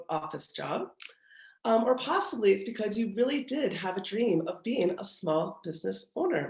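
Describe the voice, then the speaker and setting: A woman speaks at a moderate pace in a somewhat breathy voice, her pitch swinging very widely. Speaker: retail industry expert and professor. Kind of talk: webinar presentation.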